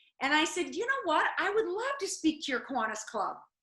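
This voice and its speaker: Raised, projected woman's voice with a bright, sharp tone and an American accent. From US Midwest (South Dakota, small town). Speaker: motivational speaker and former reality show contestant. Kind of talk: interview.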